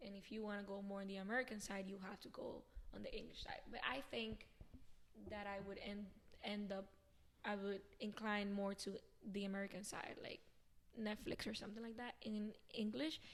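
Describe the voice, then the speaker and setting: A woman with a Spanish accent at a medium pitch, moderate pace and fairly even intonation, broken by long, frequent pauses. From Venezuela. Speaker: dancer and actress. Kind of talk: casual interview.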